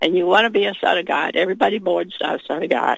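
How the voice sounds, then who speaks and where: A woman at a medium pitch speaks at a very fast pace with vocal fry and ordinary pitch variation. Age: 70s. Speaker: caller. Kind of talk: phone-in call.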